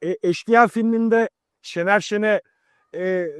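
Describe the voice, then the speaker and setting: In a very clean recording with a silent background and a dry, close sound free of echo, a man speaks at a high pitch with ordinary pitch variation. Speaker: channel host. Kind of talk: show introduction.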